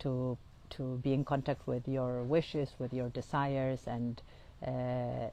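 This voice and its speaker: This woman has a very deep, low pitch and a dark, mellow tone, speaking in a non-native accent. Her intonation is monotone and flat, and her pace is fairly slow. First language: not English. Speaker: integrative oncologist and astrologer. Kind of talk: podcast monologue, guided exercise. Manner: halting, many fillers.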